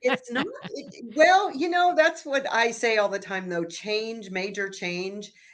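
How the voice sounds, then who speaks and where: The delivery is animated and fairly slow, with very wide pitch swings and noticeable background noise. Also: woman, fairly high pitch for a woman. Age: 70s. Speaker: abundance and money mindset coach. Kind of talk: casual chat.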